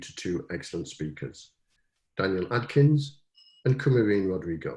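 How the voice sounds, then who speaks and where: In a British accent, a man speaks at a moderate pace in a fairly low, somewhat breathy voice. His tone is dark and mellow, and his pitch swings very widely. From Britain. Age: old. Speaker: university provost. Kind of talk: formal welcome address. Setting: webinar. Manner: formal.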